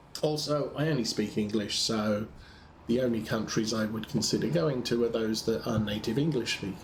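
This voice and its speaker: A man with a British accent speaks at a medium pitch and a moderate pace, with ordinary pitch variation. Noticeable background noise and audible room echo surround him. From UK. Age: 60s. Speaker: gaming streamer. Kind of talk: casual chat. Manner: halting, many fillers.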